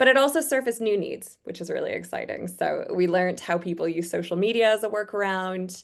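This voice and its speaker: A woman with a Canadian accent and an unremarkable speaking voice, fairly quick pace, ordinary pitch variation, quiet background. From Canada. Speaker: user researcher. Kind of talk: webinar presentation. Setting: online webinar.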